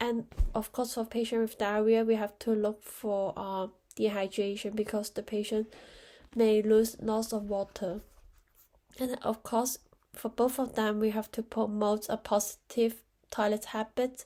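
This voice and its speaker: A woman with a fairly high pitch speaks in a dark, mellow tone with monotone, flat intonation. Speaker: nurse. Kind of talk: exam tutorial talk to camera.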